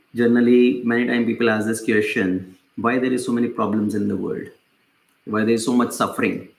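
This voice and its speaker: A man's medium-pitched voice, fairly quick in pace and fairly even in intonation, with audible room echo. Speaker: spiritual teacher. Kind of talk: lecture. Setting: small group in person, no mic. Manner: loud. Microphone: no mic, voice caught directly.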